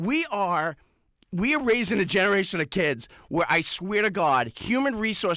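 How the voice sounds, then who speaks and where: Speaking in an American accent, a high-pitched man sounds animated, his bright, sharp tone swinging very widely in pitch. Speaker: radio sports show co-host. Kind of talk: rant on sports radio. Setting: radio studio. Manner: loud; animated, fired up.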